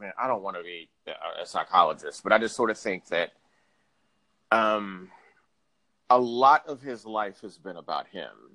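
A man with an American accent speaks at a moderate pace in a bright, sharp tone, his pitch fairly low with ordinary variation. His loudness swings widely, and he takes long, frequent pauses. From Houston, Texas. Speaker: sports journalist. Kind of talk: interview.

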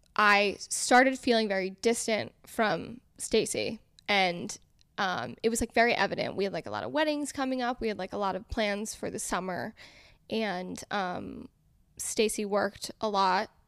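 A woman speaks with an American accent in a plain, everyday voice, at medium pitch with ordinary pitch variation and a moderate pace, on a very clean recording with a silent background. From Connecticut. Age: 20s. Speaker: food content creator. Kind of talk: casual chat.

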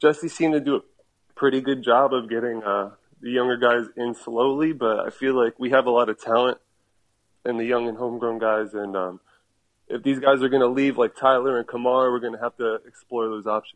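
Here a man speaks in a plain, everyday voice with an American accent. His pitch is medium, his pace fairly quick, and his intonation fairly even. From New Jersey. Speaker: soccer fan. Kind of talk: casual chat.

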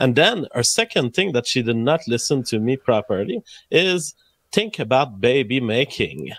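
With an unremarkable speaking voice, a man speaks at a moderate pace and medium pitch with lively intonation, the sound dry and close with no echo in a very clean recording over a silent background. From Canada. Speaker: YouTube streamer.

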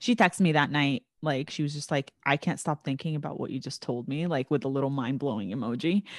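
Her voice is very deep and low for a woman, with lively intonation at a very fast pace. The sound is dry and close with no echo, over a quiet background. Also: hardly any pauses. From Middle East, moved to the US at eight. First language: not English. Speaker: podcast host and trauma therapist. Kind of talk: casual chat.

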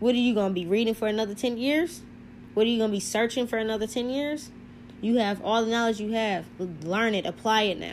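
A woman's animated, fairly high voice at a very fast pace, with ordinary pitch variation. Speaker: spiritual podcaster. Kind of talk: monologue talk on spirituality. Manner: fast talker, hyper, speaks over words; animated, casual.

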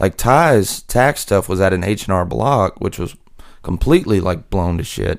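A man's very deep, low voice with lively intonation at a moderate pace, on a very clean recording with a silent background. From southwest Louisiana, Lake Charles. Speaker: rock musician. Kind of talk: casual interview chat.

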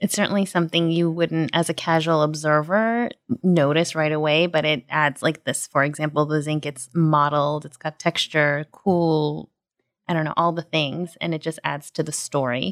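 On a very clean recording with a silent background, a woman with an American accent speaks at a moderate pace in a very deep, low pitch. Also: dry, close sound with no echo. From New York. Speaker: podcast host. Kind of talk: interview.

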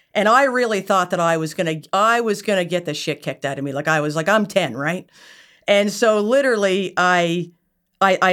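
The recording is very clean, with a silent background. A woman speaks in a Nova Scotia accent. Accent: Atlantic Canadian (Nova Scotia). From Nova Scotia, Yarmouth. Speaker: entrepreneur, company founder. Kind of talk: casual interview conversation.

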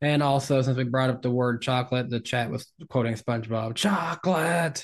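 Against a quiet background, a man with a Tennessee accent talks at a medium pitch with fairly even intonation. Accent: Tennessee Southern. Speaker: podcast co-host.

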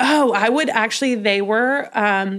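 A woman with an American accent speaks at a fairly high pitch with ordinary pitch variation against noticeable background noise. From Colorado, Denver. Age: 20s. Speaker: podcast host and curve model. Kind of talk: casual chat.

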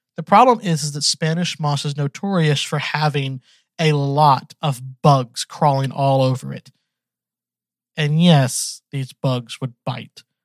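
A man speaks in a normal speaking voice, fairly high in pitch with ordinary pitch variation. His pace is fairly slow, and the sound is dry and close with no echo. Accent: American. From US South, Georgia. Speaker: podcast host. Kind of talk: casual solo monologue.

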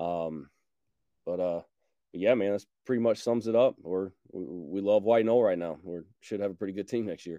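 A man's fairly low, dark, mellow voice with an American accent, dry and close with no echo, quiet background. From Georgia, US. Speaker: high school football coach. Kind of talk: casual interview.

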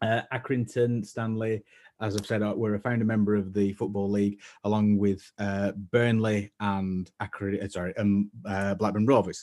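In a Lancashire accent, a man speaks at a moderate pace with a fairly low pitch and a dark, mellow tone. His intonation is monotone and flat, and the background is quiet. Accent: northern English (Lancashire). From northern England; East Lancashire. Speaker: fashion creator and shop founder. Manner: hesitant, many filler words and repeats; self-deprecating, waffling.

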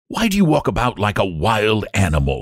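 Putting on a gruff character voice, a man speaks at a fairly low pitch and a moderate pace with very wide pitch swings. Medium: read story. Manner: gruff, cold.

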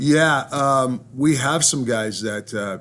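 A man speaks in a plain, everyday voice of medium pitch with ordinary pitch variation. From Ontario, Canada. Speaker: hockey head coach. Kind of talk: interview.

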